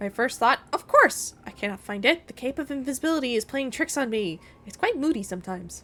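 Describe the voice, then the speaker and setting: In a put-on character voice, a high, female-sounding voice is raised and projected at a fairly quick pace. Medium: game stream. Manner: melodramatic, overwrought.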